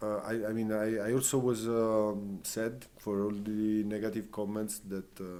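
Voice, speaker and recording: The man's voice is dark, mellow, and fairly low in pitch. He speaks at a fairly slow pace with an Italian accent. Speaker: fire performer. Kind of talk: casual chat. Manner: halting.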